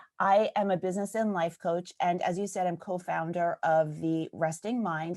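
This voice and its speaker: A woman with a New York accent at a moderate pace, a dry, close sound with no echo, in a very clean recording with a silent background. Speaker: business and life coach. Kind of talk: podcast interview.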